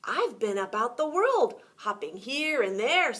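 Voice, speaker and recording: Using a put-on character voice, a woman projects a raised, high-pitched voice at a fairly slow pace with very wide pitch swings. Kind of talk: bedtime story. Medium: read story. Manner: animated.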